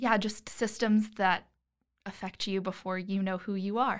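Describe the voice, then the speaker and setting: A woman's medium-pitched, monotone, flat delivery at a moderate pace, in a very clean recording with a silent background. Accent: American. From Florida. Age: 20s. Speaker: social work graduate student. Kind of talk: casual interview.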